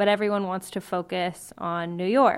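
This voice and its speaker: Recorded very cleanly against a silent background, a woman talks at a moderate pace in a medium pitch with an ordinary speaking voice. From US, Mexican-American family. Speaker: political candidate. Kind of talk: interview. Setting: at her grandmother's house.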